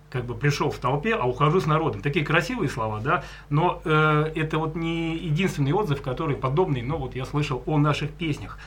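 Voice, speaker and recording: Noticeable background noise sits behind a man talking at a fairly quick pace. His pitch is fairly high and varies in an ordinary way. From Leningrad region, Russia. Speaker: folk singer. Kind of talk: casual chat. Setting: studio.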